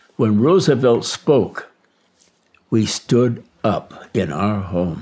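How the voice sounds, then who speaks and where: Dark and mellow in tone, a man with a Midwestern American accent swings his pitch very widely. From Detroit, Michigan. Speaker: war veteran. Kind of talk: interview answer.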